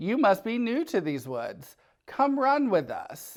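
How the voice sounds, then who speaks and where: The pace here is fairly slow. It is delivered in a put-on character voice. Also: man, extremely high pitch for a man. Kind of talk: bedtime story. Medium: read story.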